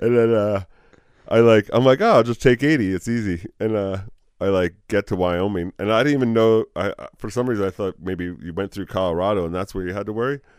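Speaking with an American accent, a man has an unremarkable speaking voice, fairly low in pitch with ordinary variation. He talks at a fairly quick pace in a dry, close sound with no echo. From New Jersey. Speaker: motorcyclist. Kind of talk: casual chat.

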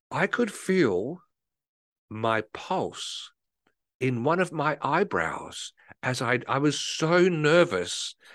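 A man's fairly high voice in an Australian accent, very slow, with very wide pitch swings, vocal fry and long, frequent pauses. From South Australia, Adelaide. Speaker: marketing consultant and podcaster. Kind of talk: casual chat.

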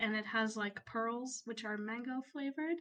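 A woman talks in a high pitch with ordinary pitch variation. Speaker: co-host and Twitch streamer. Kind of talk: casual chat. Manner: giggly.

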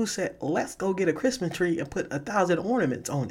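A man speaks in an animated tone at a high pitch, with lively intonation, on a very clean recording with a silent background. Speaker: podcaster. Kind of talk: casual comedic podcast monologue, then a rant about stupid holiday rules. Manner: loud, animated, exasperated, emphatic repetition, slangy.

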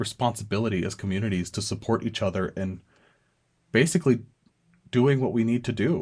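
This man talks at a fairly quick pace in a plain, everyday voice, medium in pitch with ordinary pitch variation. The recording is very clean, with a silent background. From US, small town, Mexican-American family. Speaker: student podcast host. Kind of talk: solo commentary podcast.

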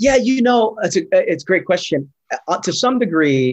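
Lively in intonation, a man talks with a New York accent. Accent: New York American. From New York, Brooklyn. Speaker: pastor. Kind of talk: interview on faith and rest. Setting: remote video call. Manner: frequent hesitations and fillers.

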